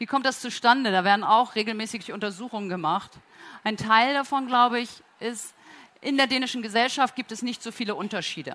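A woman's bright, sharp tone, fairly high in pitch, at a fairly quick pace with ordinary pitch variation. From northern Germany, Flensburg. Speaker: company co-founder and executive. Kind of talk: conference talk. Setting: auditorium at a trade fair, amplified.

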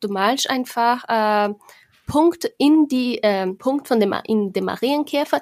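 A woman with a Portuguese accent is heard in a dry, close recording with no echo. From Brazil. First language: Portuguese (speaking German). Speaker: board game podcaster. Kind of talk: casual chat. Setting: video call.

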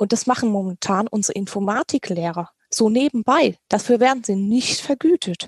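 Somewhat breathy and fairly high in pitch, a woman speaks at a moderate pace with lively intonation in a dry, close recording with no echo. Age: 30s. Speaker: teacher and party policy member. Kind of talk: podcast interview. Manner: hesitant, many fillers.

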